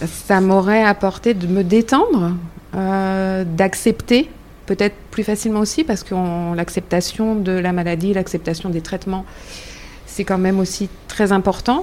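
At a fairly slow pace, a woman uses an ordinary speaking voice at medium pitch with ordinary pitch variation. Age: 50s. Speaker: breast cancer patient, association member. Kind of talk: round-table conversation.

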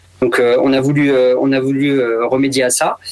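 Here a man speaks at a fairly high pitch. Noticeable background noise is present. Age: 30s. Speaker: retail store manager. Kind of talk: radio interview.

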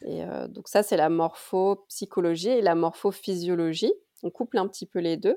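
On a very clean recording with a silent background and a dry, close sound with no echo, a woman talks at a moderate pace. Her medium-pitched voice has a dark, mellow tone, ordinary pitch variation and big swings in loudness. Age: 30s. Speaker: pharmacist and naturopathy student. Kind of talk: casual interview.

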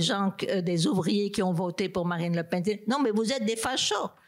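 Noticeable background noise fills the clip. A woman talks through it at a fairly slow pace. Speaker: political philosopher and professor. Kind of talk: panel debate. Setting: stage with audience.

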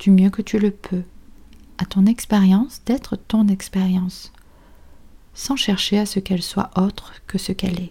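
A woman speaks at a medium pitch in a somewhat breathy voice with a gentle, calm tone and a dark, mellow tone, using monotone, flat intonation at a fairly slow pace with long, frequent pauses. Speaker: psychologist and meditation teacher. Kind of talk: guided meditation. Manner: slow, soft, calm and soothing, with long pauses; gentle, instructive, addressing listener as tu.

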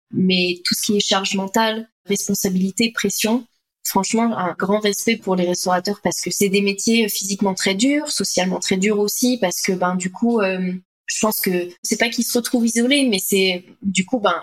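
Fairly even intonation from a woman, medium-pitched and moderately paced. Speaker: health coach for entrepreneurs. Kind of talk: interview conversation. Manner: hesitant, many fillers.

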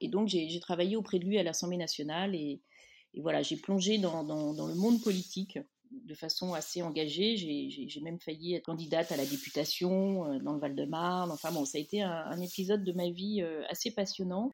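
A woman talks at a fairly low pitch. Her pace is moderate, with ordinary pitch variation. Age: 50s. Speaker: magazine editor. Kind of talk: interview. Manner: hesitant, repeats words.

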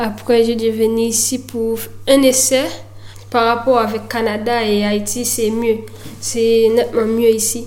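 A woman with a Haitian accent speaks very slowly in a fairly high, monotone voice with flat intonation and long, frequent pauses. Noticeable background noise and audible room echo fill the recording. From Haiti (Miragoâne). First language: Haitian Creole (speaking French). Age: 20s. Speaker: footballer. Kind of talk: interview. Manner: halting.

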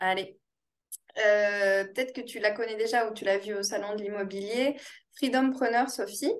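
With a fairly high pitch and fairly even intonation, a woman speaks at a fairly slow pace, leaving long, frequent pauses. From France, Toulouse. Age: 30s. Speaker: real estate investor. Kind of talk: interview. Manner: hesitant, many fillers.

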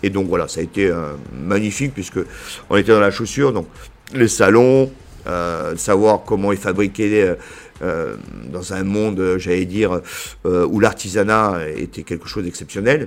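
A man with a southern French accent speaks at a fairly slow pace, leaving long, frequent pauses, amid noticeable background noise. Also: fairly low pitch for a man, ordinary pitch variation. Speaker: business association director. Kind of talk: interview. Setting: association headquarters.

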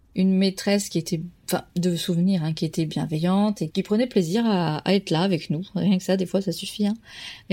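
In a very clean recording with a silent background, a woman with a dark, mellow tone and medium pitch speaks at a fairly quick pace, with fairly even intonation and very even loudness. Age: 30s. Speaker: primary school teacher. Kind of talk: testimony. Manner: halting.

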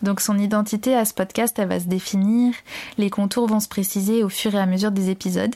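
Medium-pitched female speech in a dark, mellow tone, flat and monotone throughout. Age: 30s. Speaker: podcast host and doula in training. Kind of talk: solo podcast monologue. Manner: hesitant with filler sounds.

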